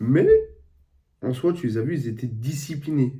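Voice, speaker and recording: A man's somewhat breathy voice, dark and mellow in tone, at a medium pitch and a very slow pace. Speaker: football YouTuber, streamer. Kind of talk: casual football match debrief. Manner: casual, conversational.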